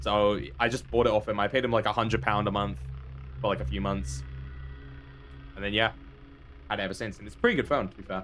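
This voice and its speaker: Over music in the background, a man with a fairly low pitch talks at a fairly quick pace with very wide pitch swings. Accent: British. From Britain. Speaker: gaming streamer. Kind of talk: live gameplay stream chat. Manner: animated.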